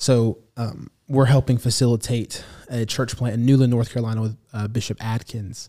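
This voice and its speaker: In a monotone, flat delivery, a man with an American accent speaks at a moderate pace, his medium-pitched voice dark and mellow on a very clean recording with a silent background. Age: 20s. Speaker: minister. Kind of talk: interview podcast conversation.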